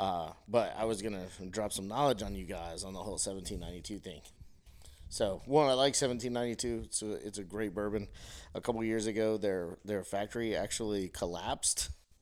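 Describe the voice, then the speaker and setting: Over a silent background on a very clean recording, a man with an unremarkable speaking voice talks fairly quickly at a fairly low pitch with ordinary pitch variation. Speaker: guest, whiskey drinker. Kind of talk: casual chat over drinks. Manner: relaxed, joking.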